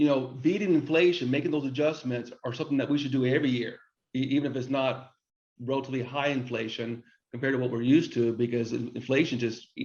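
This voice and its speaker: The pace is very fast. A man speaks at a medium pitch with fairly even intonation. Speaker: business consultant and webinar host. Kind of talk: webinar presentation. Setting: online webinar. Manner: halting, frequent repetitions and restarts.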